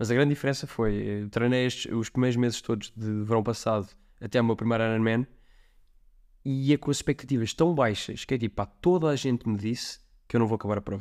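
Fairly quick and medium-pitched, a man with a European Portuguese accent talks with ordinary pitch variation in a very clean recording with a silent background. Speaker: amateur triathlete. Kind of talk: casual chat.

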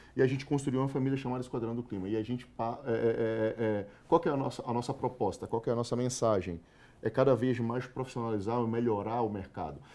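A man's medium-pitched voice with a dark, mellow tone, ordinary pitch variation and a very fast pace. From Salvador, Bahia, Brazil. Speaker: corporate sales manager. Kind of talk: casual interview chat. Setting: studio.

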